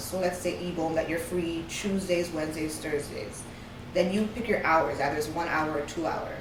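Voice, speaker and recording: Through audible room echo and noticeable background noise, a woman speaks with a fairly low pitch. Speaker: author and publishing consultant. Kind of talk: interview. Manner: fast.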